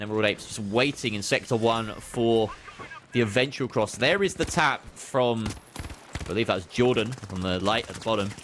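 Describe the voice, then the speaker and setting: With a British accent, a man talks at a fairly quick pace and medium pitch, using ordinary pitch variation over noticeable background noise. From Britain. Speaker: esports caster. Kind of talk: live commentary. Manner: animated.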